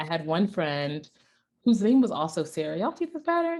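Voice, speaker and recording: A woman speaks in an animated tone with a slight non-native accent. The recording is very clean, with a silent background. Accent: slight foreign. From Ghana, raised in US South. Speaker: tech product evangelist. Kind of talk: storytelling talk.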